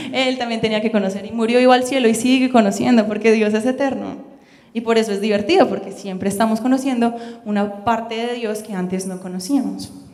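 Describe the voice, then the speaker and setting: A woman with a fairly high voice, talking at a fairly quick pace with fairly even intonation, and audible room echo. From Colombia. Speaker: missionary and Bible school student. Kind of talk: sermon. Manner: fast.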